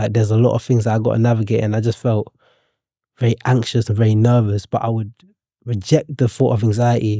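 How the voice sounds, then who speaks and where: A man talks at a medium pitch and a very fast pace, with a dark, mellow tone and monotone, flat intonation. The sound is dry and close, with no echo. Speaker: poet and author. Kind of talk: podcast interview. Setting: studio. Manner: quiet.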